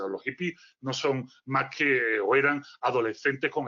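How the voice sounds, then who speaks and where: The voice belongs to a man. He has a strong Galician accent. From Galicia, Spain. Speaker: philosopher, speaker. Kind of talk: lecture. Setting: virtual conference.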